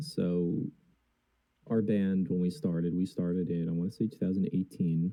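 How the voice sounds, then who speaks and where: With an American accent, a man speaks in a very deep, low pitch. His pace is moderate. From New Jersey. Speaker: band vocalist. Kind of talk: interview.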